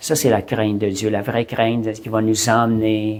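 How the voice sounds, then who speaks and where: A man with a fairly low voice keeps his speech at a moderate pace. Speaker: preacher. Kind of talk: sermon. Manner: halting, repeats words.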